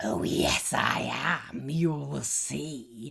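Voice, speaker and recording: A man puts on a booming, growling character voice from a medium pitch. His pitch swings very widely. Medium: read story. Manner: booming, mean.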